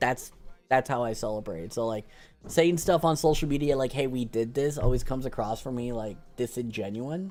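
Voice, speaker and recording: Music plays behind a man who talks at a fairly quick pace with a medium pitch and ordinary pitch variation. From Canada. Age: 20s. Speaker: video game streamer. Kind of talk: casual chat.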